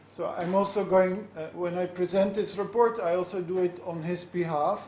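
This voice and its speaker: Speaking with a Dutch accent, a man with a high-pitched voice talks in a flat monotone amid noticeable background noise and audible room echo. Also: moderate pace. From Netherlands. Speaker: law scholar. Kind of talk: lecture. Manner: halting, many fillers.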